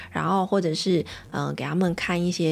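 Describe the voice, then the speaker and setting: A woman with a Taiwanese accent speaks at a fairly low pitch, with vocal fry and fairly even intonation. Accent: Taiwanese Mandarin. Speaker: podcast host and pediatrician. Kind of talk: casual monologue podcast.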